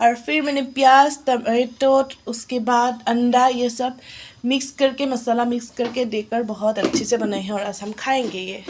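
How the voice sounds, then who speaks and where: A woman with an Assamese accent speaks in a high voice with fairly even intonation over noticeable background noise. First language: Assamese (speaking Hindi). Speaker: vlogger. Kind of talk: casual home vlog. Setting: at home. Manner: halting, self-correcting Hindi.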